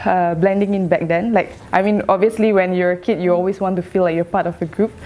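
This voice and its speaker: Against noticeable background noise, a woman speaks at medium pitch. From Singapore. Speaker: interviewee. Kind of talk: personal testimony.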